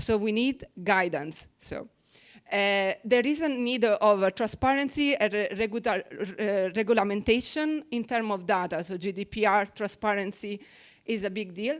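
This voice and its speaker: A fairly high-pitched woman with an Italian accent, ordinary pitch variation, a moderate pace, and a very clean recording with a silent background. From Italy. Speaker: researcher. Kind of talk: conference presentation. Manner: halting.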